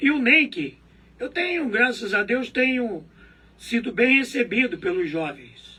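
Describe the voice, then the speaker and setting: In a raised, projected voice with a bright, sharp tone, a man speaks fairly slowly in a high pitch with very wide pitch swings. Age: 70s. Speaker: local politician. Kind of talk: interview.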